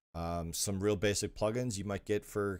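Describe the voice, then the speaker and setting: A man with an unremarkable speaking voice, fairly low in pitch, on a very clean recording with a silent background. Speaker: live streamer answering viewer questions on game server administration. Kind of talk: live Q&A stream reading chat. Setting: live stream.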